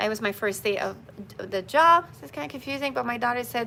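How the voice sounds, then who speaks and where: A woman's fairly high voice, bright and sharp in tone, with ordinary pitch variation. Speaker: spiritual bracelet seller and live streamer. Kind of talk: live stream chat. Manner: fast when excited.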